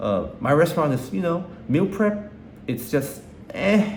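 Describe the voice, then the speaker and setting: A man talks at a fairly slow pace with lively intonation. Audible room echo surrounds his voice. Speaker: vlogger and restaurant owner. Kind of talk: personal video journal. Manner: halting, repetitive; casual.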